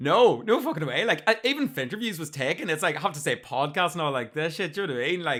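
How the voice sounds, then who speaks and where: A man with a Northern Irish accent speaks at a very fast pace with hardly any pauses. His voice is fairly high, bright and sharp, with very wide pitch swings. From Northern Ireland, County Armagh. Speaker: podcast host. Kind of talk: casual chat. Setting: video call.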